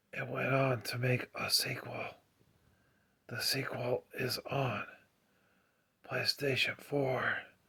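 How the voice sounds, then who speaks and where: A man whispering at a very slow pace, with long, frequent pauses. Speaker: gaming YouTuber. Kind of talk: ASMR video. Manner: soft-spoken.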